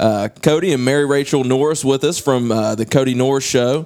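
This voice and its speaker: This man has an unremarkable speaking voice, a medium pitch and fairly even intonation, talking at a moderate pace with an American accent. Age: 30s. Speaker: podcast host and coach. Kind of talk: casual podcast chat.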